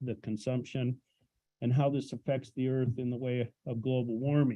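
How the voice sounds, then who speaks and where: This man talks at a moderate pace in a medium pitch, his intonation monotone and flat. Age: 60s. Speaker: public commenter, retired business owner. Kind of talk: public comment reading prepared statement. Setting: public hearing room.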